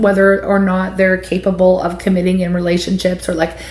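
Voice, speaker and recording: A woman's medium-pitched voice at a moderate pace, against noticeable background noise. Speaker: tarot reader. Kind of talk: tarot reading monologue. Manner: animated.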